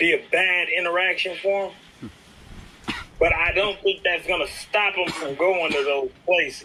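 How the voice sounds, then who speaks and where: With noticeable background noise behind him, a man with a high pitch talks at a moderate pace with fairly even intonation. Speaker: street talk guest. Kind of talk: casual chat.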